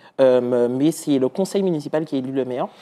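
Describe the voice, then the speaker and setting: A man speaks at a fairly high pitch in a dark, mellow tone. His pitch varies in an ordinary way. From Martinique. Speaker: municipal councillor. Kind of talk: TV interview. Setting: TV studio. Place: studio. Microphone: lapel.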